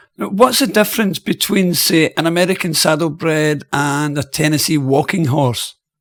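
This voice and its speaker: With a Scottish accent and a fairly high pitch, a man talks at a moderate pace with hardly any pauses in a dry, close sound with no echo. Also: ordinary pitch variation. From Scotland, Airdrie. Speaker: radio host. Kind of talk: interview.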